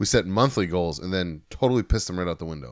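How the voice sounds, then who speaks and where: The delivery is animated, with lively intonation and a very fast pace. The recording is very clean, with a silent background. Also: man. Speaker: podcast host. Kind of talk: casual drunk chat. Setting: studio with mixer and separate mics. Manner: loud, talkative, animated.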